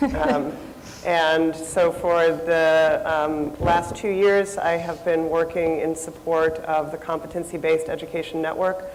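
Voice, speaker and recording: The voice has monotone, flat intonation, with noticeable background noise and audible room echo. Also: woman, fairly low pitch for a woman. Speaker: nonprofit researcher. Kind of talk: conference panel talk. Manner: loud.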